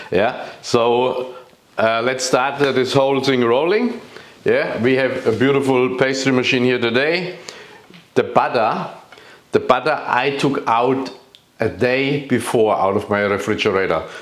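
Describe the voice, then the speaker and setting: A man with a German accent speaks at a fairly slow pace and medium pitch, his loudness very even, with noticeable background noise and audible room echo. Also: ordinary pitch variation. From Germany. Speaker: chef. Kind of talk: cooking tutorial. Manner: halting, many fillers.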